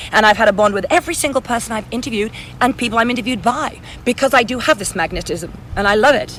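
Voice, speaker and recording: Very fast speech in an English accent carries ordinary pitch variation. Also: woman, fairly high pitch for a woman. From England. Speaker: author, model, actress, TV reporter. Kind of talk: interview answer.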